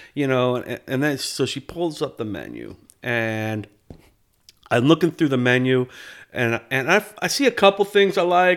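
Heard in a very clean recording with a silent background, a man with an American accent speaks with lively intonation at a moderate pace. He has a normal speaking voice. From upstate New York. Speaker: podcast co-host. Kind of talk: casual chat.

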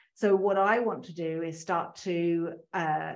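A woman is speaking. Her pitch is medium. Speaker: marketing consultant for accountants. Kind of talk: interview. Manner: animated.

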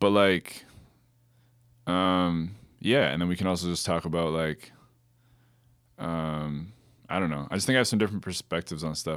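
A man's very deep, low voice at a moderate pace, with long, frequent pauses, ordinary pitch variation, and a very clean recording over a silent background. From Kitchener-Waterloo, Ontario, Canada. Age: 30s. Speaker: DJ. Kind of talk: casual chat.

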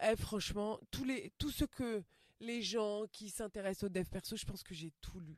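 On a very clean recording with a silent background, a woman in an unremarkable speaking voice talks at a fairly slow pace with fairly high pitch, ordinary pitch variation and big swings in loudness. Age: 40s. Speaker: stand-up comedian. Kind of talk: casual interview chat.

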